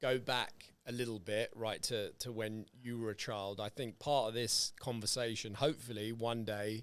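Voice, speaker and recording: With a British accent, a man talks at a moderate pace and medium pitch in a monotone, flat delivery with hardly any pauses, on a very clean recording with a silent background. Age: 40s. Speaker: podcast host. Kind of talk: casual chat. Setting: podcast recording.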